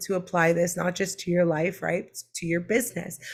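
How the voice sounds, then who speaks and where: A woman with an American accent speaks at a medium pitch in a somewhat breathy voice. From Brooklyn, New York. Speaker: online business coach. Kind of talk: live-streamed teaching webinar. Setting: live online stream. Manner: casual, with frequent fillers.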